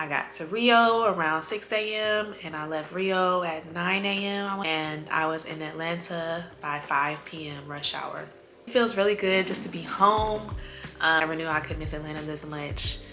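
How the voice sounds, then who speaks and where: Against noticeable background noise and audible room echo, a woman speaks at a moderate pace with a fairly low pitch and ordinary pitch variation. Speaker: travel vlogger. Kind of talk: vlog update.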